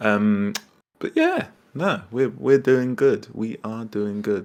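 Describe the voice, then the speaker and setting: At a very slow pace, a man with a British accent speaks at a medium pitch with ordinary pitch variation. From UK. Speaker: online furry meet host. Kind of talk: casual chat. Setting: online voice chat.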